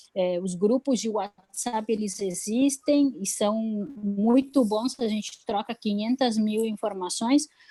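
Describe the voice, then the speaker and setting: A woman's voice with ordinary pitch variation, dry and close with no echo, over a quiet background. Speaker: public health policy adviser. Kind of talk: online webinar talk. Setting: live stream. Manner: hesitant, many fillers.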